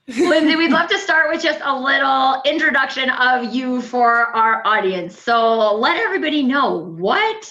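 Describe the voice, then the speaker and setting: A woman projects her raised, high-pitched voice at a fairly slow pace, with audible room echo around her. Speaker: talk show host. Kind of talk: casual interview.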